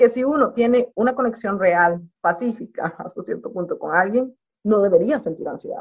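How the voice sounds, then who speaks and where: In a plain, everyday voice, a woman talks at a fairly quick pace, her fairly high pitch shifting with lively intonation. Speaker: podcast co-host. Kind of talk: casual chat.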